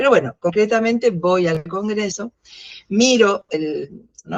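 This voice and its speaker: A woman speaks with an Argentine accent and lively intonation at a medium pitch. The sound is dry and close, with no echo. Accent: Argentine Spanish (Rioplatense). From Argentina. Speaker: philosophy educator. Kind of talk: interview. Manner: halting, many fillers.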